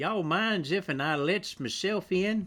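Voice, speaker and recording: A man puts on a high, drawling character voice at a moderate pace. The recording is very clean with a silent background. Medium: read story. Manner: folksy, ungrammatical drawl.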